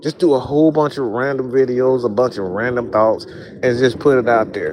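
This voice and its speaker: Over noticeable background noise, a man at medium pitch sounds animated while speaking at a moderate pace. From US South. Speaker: sports content creator. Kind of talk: motivational talk to camera. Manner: casual, animated.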